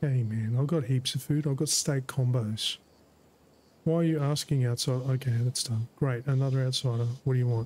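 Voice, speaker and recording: With an Australian accent, a man talks at medium pitch and a moderate pace, somewhat breathy, with fairly even intonation and very even loudness. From Australia, Brisbane, Queensland. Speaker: gaming streamer. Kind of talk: live gameplay commentary.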